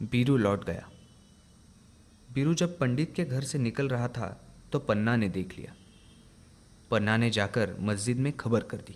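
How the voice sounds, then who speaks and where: A man with a medium pitch speaks with ordinary pitch variation. Long, frequent pauses break up his speech. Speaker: narrator. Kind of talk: radio drama narration.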